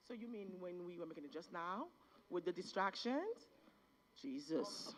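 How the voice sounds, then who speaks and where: A woman speaks at a moderate pace with a medium pitch. Her intonation is lively. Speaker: seminar attendee. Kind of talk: casual group discussion. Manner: loud.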